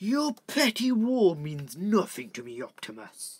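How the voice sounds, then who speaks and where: A put-on character voice at a middle pitch, with very wide pitch swings and a fairly slow pace. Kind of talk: character voice impressions. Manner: cold, menacing.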